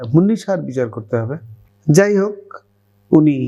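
Pitched high, a man's voice with a dark, mellow tone sweeps through very wide pitch swings. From Bangladesh. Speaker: retired army doctor. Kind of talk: testimony. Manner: halting.

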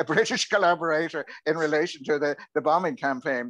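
A man with an Irish accent at a fairly quick pace, over a quiet background. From Ireland. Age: 70s. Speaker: audience member and history writer; audience member. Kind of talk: Q&A comment. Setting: video call. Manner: halting, repeats words. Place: home room. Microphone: earbuds.

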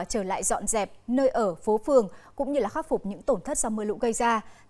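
Over a quiet background, a woman with a fairly high pitch talks at a very fast pace with lively intonation. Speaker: news anchor. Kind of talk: news reading. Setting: studio. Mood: calm, formal. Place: studio. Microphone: lapel.

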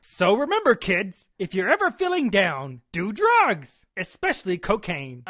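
At a moderate pace, a man in a cartoonish character voice speaks high with hardly any pauses, the sound dry and close with no echo and the background quiet. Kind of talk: comic overacting. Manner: brash, sarcastic, blunt.

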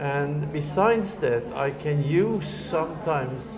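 A man's voice with music playing in the background. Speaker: interviewee. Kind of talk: interview answer. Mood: earnest, reflective. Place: home room.

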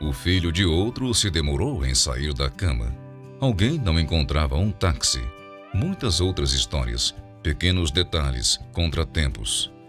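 Over music in the background, a man with a very deep, low voice speaks at a fairly slow pace with very even loudness. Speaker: narrator. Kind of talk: inspirational narration.

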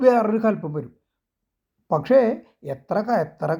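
Against a silent background, a man's voice is captured in a very clean recording. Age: 50s. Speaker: religious commentator. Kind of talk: religious talk to camera. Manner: halting.

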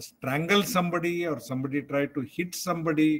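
A man with a high pitch speaks at a fairly slow pace. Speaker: psychiatrist lecturer. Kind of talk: lecture.

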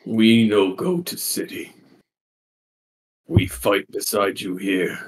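A man puts on a character voice at a medium pitch. He speaks at a very slow pace with long, frequent pauses. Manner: broken speech, simple.

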